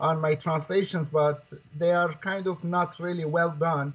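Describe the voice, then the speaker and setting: A man's fairly high-pitched voice at a fairly slow pace. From Turkey, Kurdish region. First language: Kurdish. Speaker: Quran scholar and author. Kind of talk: interview.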